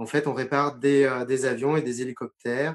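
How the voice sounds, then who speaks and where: Against a quiet background, a man talks fairly slowly at a medium pitch with fairly even intonation. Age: 40s. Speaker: former military aircraft mechanic. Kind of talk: interview testimony. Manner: halting, many fillers and repetitions.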